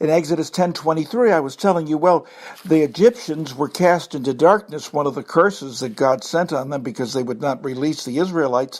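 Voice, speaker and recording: A man speaking with hardly any pauses and ordinary pitch variation, over noticeable background noise. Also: fairly high pitch for a man, fairly quick pace. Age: 70s. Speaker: pastor. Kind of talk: sermon. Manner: animated.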